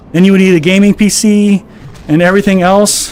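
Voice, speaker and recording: A man talks at a moderate pace in a high pitch. Noticeable background noise sits behind him. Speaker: gaming streamer. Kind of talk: live stream chat.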